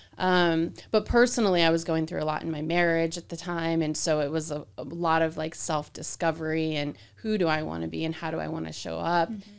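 A woman with an American accent speaks with hardly any pauses. Her intonation stays fairly even. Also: fairly quick pace. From Arizona. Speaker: real estate agent. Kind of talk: casual chat. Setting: studio.

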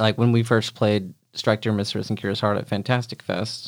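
Using an unremarkable speaking voice, a man with an American accent talks at a fairly quick pace. His pitch sits fairly low and his intonation stays fairly even. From Oklahoma. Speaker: filmmaker and film programmer. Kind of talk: casual interview. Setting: studio with headphones.

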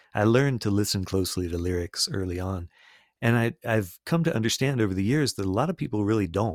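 A man with an American accent speaks at a fairly quick pace in a normal speaking voice, with ordinary pitch variation. The recording is very clean, with a silent background and a dry, close sound with no echo. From US South, Florida. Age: 50s. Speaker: singer-songwriter and peace builder. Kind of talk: interview conversation.

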